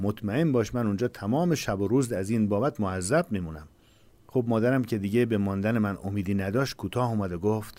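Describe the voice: What we hear is plain reading aloud.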